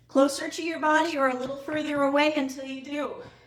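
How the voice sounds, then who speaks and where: Audible room echo follows a woman who speaks at a high pitch and a moderate pace. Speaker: fitness coach. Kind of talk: workout instruction. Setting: live online class. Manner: breathy, effortful while exercising.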